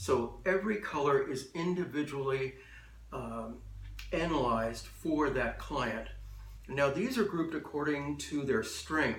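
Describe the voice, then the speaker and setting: Audible room echo frames a man speaking at a fairly slow pace. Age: 60s. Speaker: color and style consultant. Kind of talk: explainer monologue to camera. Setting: office. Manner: measured, with frequent uh and um fillers.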